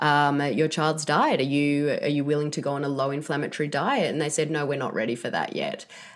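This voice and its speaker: A woman with an Australian accent, a very deep, low pitch and a fairly quick pace, on a very clean recording with a silent background. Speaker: author. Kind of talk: interview.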